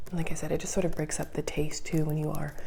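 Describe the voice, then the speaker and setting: Soft-spoken and calm, a woman talks in a relaxed tone over noticeable background noise. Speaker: ASMR content creator. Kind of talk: soft-spoken ASMR grocery haul show and tell. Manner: soft-spoken, calm, relaxed.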